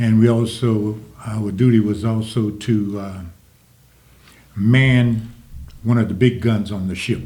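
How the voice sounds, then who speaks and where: A man speaks fairly slowly with long, frequent pauses, his fairly low, somewhat breathy voice dark and mellow in tone. His intonation stays fairly even, and the room echo is audible. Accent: Louisiana. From US South, Jennings, Louisiana. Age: 80s+. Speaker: Vietnam war veteran. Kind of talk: interview.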